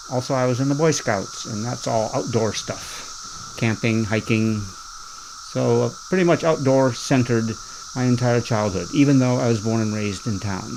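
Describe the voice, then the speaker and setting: Amid noticeable background noise, a man with an American accent speaks at a moderate pace. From Ohio, Canton. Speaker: farmer. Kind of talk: oral history interview.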